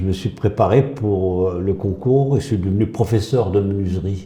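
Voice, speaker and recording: Somewhat breathy and fairly low-pitched, a man speaks in a dark, mellow tone at a fairly slow pace with ordinary pitch variation. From northern France (Pas-de-Calais). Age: 80s+. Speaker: retired school headteacher. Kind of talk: casual interview. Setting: gym. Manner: halting, many hesitations.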